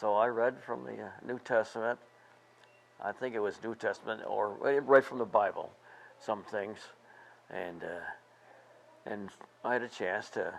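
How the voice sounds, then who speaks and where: A man with an American accent talks at medium pitch and a fairly slow pace, his voice showing vocal fry. His intonation is fairly even, his loudness swings widely, and he leaves long, frequent pauses. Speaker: war veteran and retired teacher. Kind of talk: interview answer.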